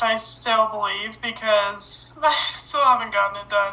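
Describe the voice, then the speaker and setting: Fairly high-pitched woman's voice with fairly even intonation amid noticeable background noise. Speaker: podcast host. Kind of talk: casual chat.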